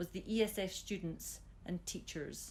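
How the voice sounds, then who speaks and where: With a Scottish accent, a woman speaks at a medium pitch with lively intonation. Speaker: school system chief executive. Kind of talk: interview.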